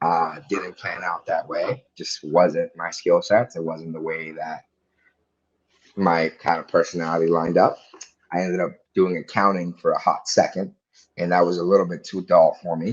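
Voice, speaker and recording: Big swings in loudness mark a man speaking at a moderate pace with an American accent. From Dominican Republic, then US from age 14. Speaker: real estate investor. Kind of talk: casual podcast interview.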